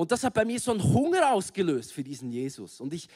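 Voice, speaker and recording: A man's voice with very wide pitch swings. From Switzerland, Bern. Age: 30s. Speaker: guest preacher. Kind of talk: sermon. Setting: stage with audience.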